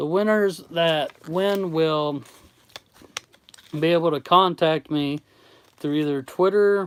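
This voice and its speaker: A man's fairly high voice, very slow and fairly even in intonation, with an American accent and a dry, close sound with no echo. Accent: Southern US accent, Kentucky-like. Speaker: YouTube artist running a giveaway. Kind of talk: livestream chat. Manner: casual, conversational.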